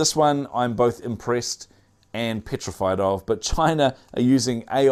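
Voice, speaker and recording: A man with a New Zealand accent on a very clean recording with a silent background. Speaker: tech news show host. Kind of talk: news roundup commentary. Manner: casual, many filler words.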